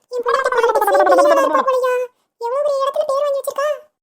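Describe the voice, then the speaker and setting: A woman does a cartoonish character voice at an extremely high pitch with monotone, flat intonation. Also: moderate pace. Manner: deferential, keeps saying "annachi".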